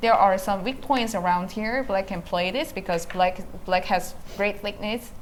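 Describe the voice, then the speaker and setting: In a Korean accent, a woman speaks at medium pitch with ordinary pitch variation. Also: moderate pace. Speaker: professional go player and commentator. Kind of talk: live game commentary. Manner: halting.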